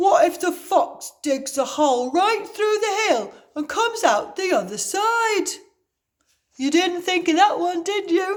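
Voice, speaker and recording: A put-on character voice from a woman, extremely high-pitched, with very wide pitch swings and a fairly slow pace. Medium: read story.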